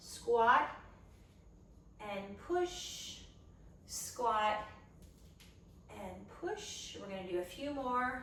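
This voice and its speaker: At a very slow pace with long, frequent pauses, a fairly high-pitched woman uses lively intonation and big swings in loudness over noticeable background noise. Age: 50s. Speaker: personal trainer. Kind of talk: fitness instruction, following along workout. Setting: at home workout video. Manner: encouraging, instructional, conversational.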